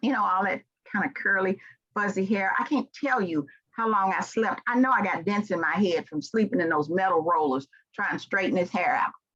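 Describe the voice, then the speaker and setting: A woman with a Southern US accent talks at a medium pitch and a fairly quick pace. Her tone is animated and her intonation lively. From US South, Memphis, Tennessee. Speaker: leadership trainer and speaker. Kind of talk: motivational keynote speech.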